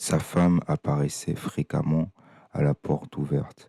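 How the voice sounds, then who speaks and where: A very slow, very deep male voice, dark and mellow in tone, calm, with a dry, close sound and no echo. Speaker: audiobook reader. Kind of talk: reading aloud. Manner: calm, measured.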